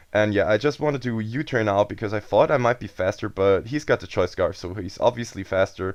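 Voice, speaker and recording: Fairly low-pitched, a man talks with a German accent. The pace is fairly quick and the pitch variation ordinary. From Germany. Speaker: gaming commentator. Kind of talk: video game commentary. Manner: casual.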